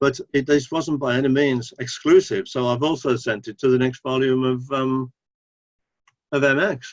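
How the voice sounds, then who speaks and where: A man speaks with an English accent at a medium pitch. His intonation is flat and monotone. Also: moderate pace. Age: 70s. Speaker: author. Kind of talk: interview.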